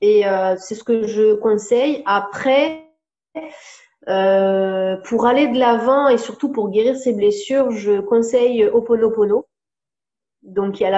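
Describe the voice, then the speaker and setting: The delivery is very slow. Pitch variation is ordinary. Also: woman. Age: 30s. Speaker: life coach. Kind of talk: interview. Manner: hesitant, with many fillers.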